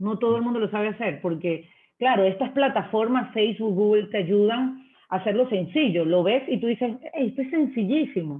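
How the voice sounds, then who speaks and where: At a moderate pace, a woman with an ordinary speaking voice delivers her words with lively intonation. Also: fairly high pitch for a woman. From Venezuela. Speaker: marketing manager. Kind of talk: interview.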